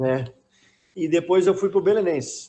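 The speaker is a man. His tone is dark and mellow. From Rio Grande do Sul, Brazil. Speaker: retired footballer. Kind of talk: casual chat.

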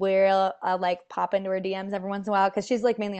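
A woman with an American accent and medium pitch at a very fast pace, against a quiet background. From US. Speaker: dicemaker. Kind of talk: casual interview chat. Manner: warm, chatty.

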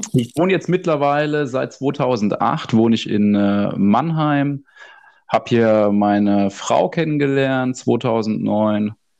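Over a quiet background, a man speaks at a very slow pace. His medium-pitched voice has lively intonation. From Odenwald, southern Hesse (Birkenau). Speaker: podcast co-host. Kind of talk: casual chat.

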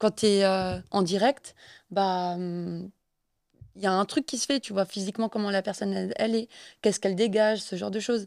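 On a very clean recording with a silent background and a dry, close sound without echo, a woman at medium pitch speaks at a moderate pace with fairly even intonation and long, frequent pauses. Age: 20s. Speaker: podcast guest. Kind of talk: casual chat.

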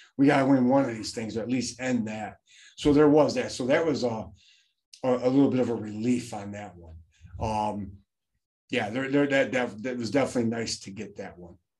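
With ordinary pitch variation, a man talks at medium pitch in a plain, everyday voice. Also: fairly quick pace. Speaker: high school football coach. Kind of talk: casual interview chat.

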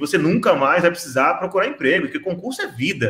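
A man talks at a very fast pace in a high voice. His pitch moves in very wide swings. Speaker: panel moderator. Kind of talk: panel discussion.

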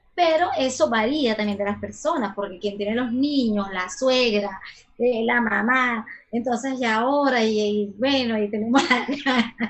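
Amid noticeable background noise, a woman speaks at a fairly slow pace with a fairly high pitch and ordinary pitch variation. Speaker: sexologist. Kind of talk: casual interview. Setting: video call.

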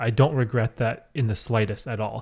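Somewhat breathy and medium in pitch, a man's voice holds fairly even intonation in a very clean recording with a silent background. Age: 30s. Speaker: podcast host and youtuber. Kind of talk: casual chat.

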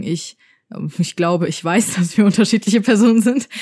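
On a very clean recording with a silent background and a dry, close sound with no echo, a woman speaks in a dark, mellow tone at a moderate pace with ordinary pitch variation. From Germany, Frankfurt. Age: 20s. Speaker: podcast co-host, YouTuber. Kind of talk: casual chat. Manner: animated.

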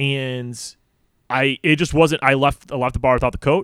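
A man with an American accent speaks in a normal speaking voice at medium pitch. His pace is moderate and his intonation fairly even. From Chicago suburbs, Illinois. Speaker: podcast guest, PhD researcher. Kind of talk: casual chat.

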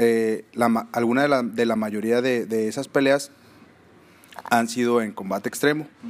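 A man with an ordinary speaking voice, at a fairly slow pace. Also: medium pitch for a man, fairly even intonation. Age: 30s. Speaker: mixed martial arts fighter and coach. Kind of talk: casual interview.

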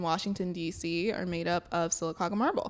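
With a slight Southern US accent, a woman speaks at a medium pitch and a moderate pace, keeping her intonation fairly even. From Alabama, Sylacauga. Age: 20s. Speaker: podcast co-host. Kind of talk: casual chat.

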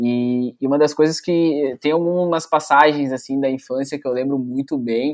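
An ordinary speaking voice at a moderate pace. It flows with hardly any pauses and fairly even intonation. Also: man, fairly high pitch for a man. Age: 20s. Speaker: sports photojournalist. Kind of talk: casual interview chat.

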